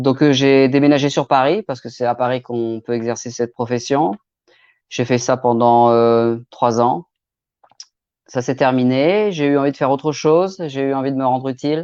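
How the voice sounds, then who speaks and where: At a moderate pace and medium pitch, a man talks with ordinary pitch variation in a dry, close recording with no echo. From Normandy, France. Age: 40s. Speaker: crime novelist. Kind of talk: live stream self-presentation. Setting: online live stream. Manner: hesitant, many filler sounds.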